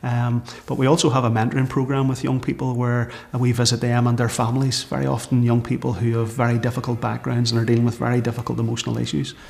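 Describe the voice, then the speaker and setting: Through noticeable background noise, a man with a Northern Irish accent talks at a very fast pace and medium pitch, with very even loudness and monotone, flat intonation. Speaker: church minister leading community project. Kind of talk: documentary interview. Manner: hesitant, many fillers.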